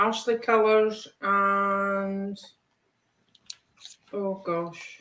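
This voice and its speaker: Her intonation monotone and flat, a woman with a Scottish accent speaks at medium pitch in a bright, sharp tone. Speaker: colouring hobbyist participant. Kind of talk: casual chat. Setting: video call from her kitchen.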